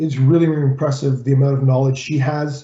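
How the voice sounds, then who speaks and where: Somewhat breathy, fairly high-pitched speech from a man. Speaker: college employer relations consultant and rugby coach. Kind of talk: presentation. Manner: fast.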